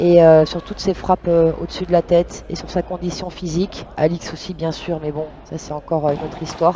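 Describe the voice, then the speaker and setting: A soft-spoken voice moves at a fairly quick pace. Noticeable background noise runs underneath. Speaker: padel commentator. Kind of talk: live commentary. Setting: courtside at a live match. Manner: hesitant with frequent fillers.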